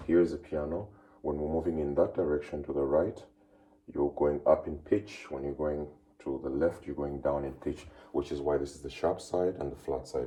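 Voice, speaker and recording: At a moderate pace, a man with a very deep, low pitch speaks with fairly even intonation and vocal fry. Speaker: music teacher. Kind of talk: lecture.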